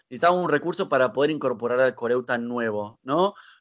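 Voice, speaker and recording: A man in a Rioplatense accent at a fairly quick pace, with ordinary pitch variation and a quiet background. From Argentina, Buenos Aires. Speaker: choir director. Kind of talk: casual interview. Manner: hesitant with fillers.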